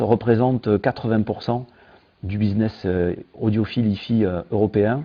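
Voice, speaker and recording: A man's speech shows ordinary pitch variation and keeps a moderate pace. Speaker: tech company founder. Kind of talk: interview. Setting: video call. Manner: hesitant, many fillers.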